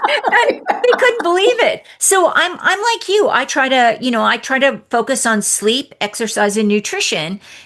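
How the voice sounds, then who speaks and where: Over noticeable background noise, a woman speaks at a high pitch with very wide pitch swings. Her pace is moderate, her loudness very even, and she barely pauses. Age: 60s. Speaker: podcast host and divorce coach. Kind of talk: interview.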